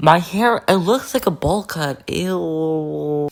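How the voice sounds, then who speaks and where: A man with an animated tone over noticeable background noise. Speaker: art and design YouTuber. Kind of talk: casual vlog voiceover.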